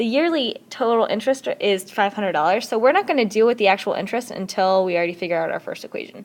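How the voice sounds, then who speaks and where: A woman's fairly high voice with lively intonation, at a very fast pace with hardly any pauses. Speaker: math teacher. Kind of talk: recorded lesson tutorial.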